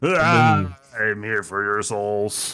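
A robotic, put-on character voice. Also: man. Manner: menacing.

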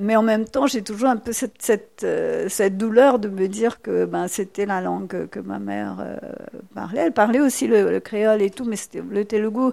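Moderate pace, with hardly any pauses. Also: woman. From Mauritius, rural village. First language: Mauritian Creole (speaking French). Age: 60s. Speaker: novelist and poet. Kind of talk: public talk at library event.

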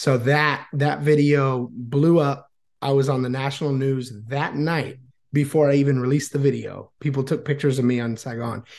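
Against a quiet background, a man with an American accent speaks at a moderate pace with a fairly high pitch in a plain, everyday voice. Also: fairly even intonation. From Florida, US. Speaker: YouTuber and Vietnamese language teacher. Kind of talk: casual interview chat.

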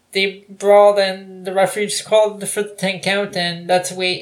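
The speaker has a Canadian accent and a fairly slow pace. The intonation is monotone and flat. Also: woman. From Toronto, Canada. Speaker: podcast co-host. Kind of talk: casual banter podcast.

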